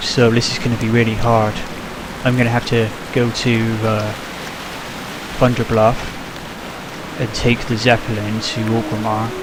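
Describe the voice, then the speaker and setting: Long, frequent pauses break up a man's medium-pitched speech in a strong British accent, with audible room echo and noticeable background noise. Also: moderate pace. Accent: British, self-described as strong. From UK. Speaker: gaming video creator. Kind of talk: let's play commentary. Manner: animated.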